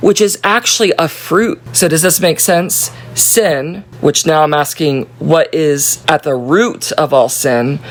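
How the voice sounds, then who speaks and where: A woman with a very deep, low pitch speaks very slowly with hardly any pauses, lively intonation and very even loudness over noticeable background noise. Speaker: Bible study leader. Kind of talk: Bible study talk. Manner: animated.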